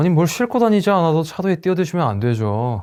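A man talks at a fairly quick pace in a dark, mellow tone. His pitch swings very widely. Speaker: actor performing a monologue. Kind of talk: acted monologue, heated argument. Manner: sharp, clipped, sarcastic, exasperated and raising the volume; rapid-fire, confrontational, rising in intensity.

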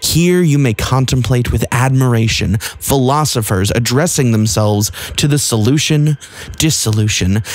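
Over noticeable background noise, a man speaks at a moderate pace. His medium pitch moves with lively intonation. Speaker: audiobook narrator. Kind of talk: audiobook reading of a literary novel, scripted narration. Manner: formal, measured, even-paced literary delivery.

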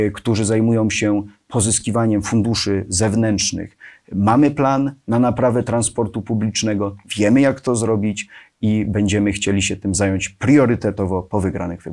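This is a man with a plain, everyday voice, fairly low in pitch. He keeps a moderate pace and fairly even intonation over a quiet background. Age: 20s. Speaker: local politician. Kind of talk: interview. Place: studio. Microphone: lapel.

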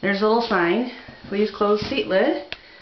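Light background noise sits under audible room echo in this clip. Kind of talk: casual vlog chat. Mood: enthusiastic, amused. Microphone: phone near.

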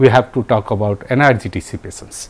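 With ordinary pitch variation, a man talks at a moderate speed. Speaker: university professor. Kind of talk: lecture. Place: studio. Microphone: lapel.

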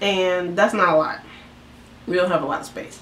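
Audible room echo surrounds a woman as she talks. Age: 20s. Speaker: vlogger. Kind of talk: casual chat. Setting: home bedroom. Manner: rambling, fast. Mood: relaxed, playful. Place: home room. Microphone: camera far.

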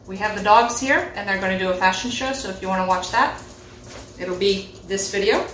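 A woman's voice with fairly even intonation, audible room echo and light background noise. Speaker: vlogger host. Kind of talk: casual vlog chat. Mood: relaxed, playful. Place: kitchen. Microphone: camera far.

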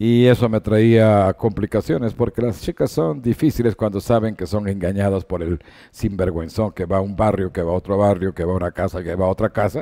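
In a quiet background, a man with a dark, mellow tone and fairly low pitch talks at a fairly quick pace with hardly any pauses and ordinary pitch variation. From Ecuador. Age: 70s. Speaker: sports broadcaster; sports journalist guest. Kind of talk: interview. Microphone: headset.

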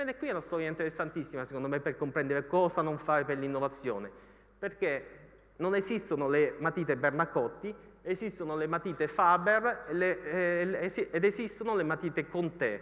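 With ordinary pitch variation, a man's voice sits high for a man over a quiet background. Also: fairly quick pace. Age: 40s. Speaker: economics journalist and author; economics journalist. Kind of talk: lecture. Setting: stage with audience. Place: hall. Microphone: handheld.

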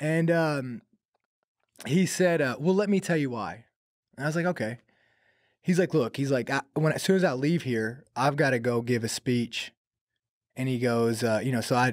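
A man talks at a moderate pace with ordinary pitch variation and long, frequent pauses, in a dry sound with no echo and a quiet background. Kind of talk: interview answer, storytelling. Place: studio. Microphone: studio mic.

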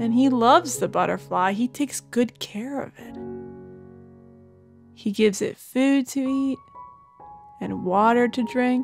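A woman with a high pitch and a gentle tone speaks at a fairly slow pace, with long, frequent pauses and big swings in loudness. Music plays in the background. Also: ordinary pitch variation. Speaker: meditation guide. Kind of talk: children's bedtime guided meditation. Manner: soft, slow, gentle.

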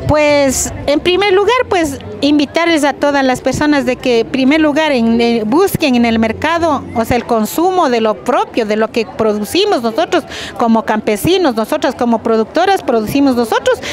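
A woman's high-pitched voice at a moderate pace, with lively intonation, hardly any pauses, a dry sound with no echo and light background noise. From Pimampiro, Imbabura, Ecuador. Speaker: rural women's group representative. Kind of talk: interview. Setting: outdoors at a seed fair. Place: street.

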